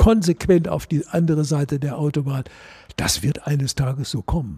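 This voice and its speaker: A man's dark, mellow, somewhat breathy voice, fairly high in pitch, with ordinary pitch variation, a moderate pace and a dry, close sound with no echo. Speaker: former golf club board member. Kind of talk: panel discussion. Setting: clubhouse.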